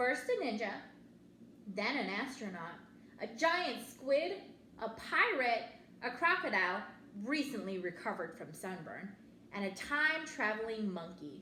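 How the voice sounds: A woman speaks at a fairly slow pace with a fairly high pitch and big pitch swings. Her tone is bright and sharp, and the room echo is audible.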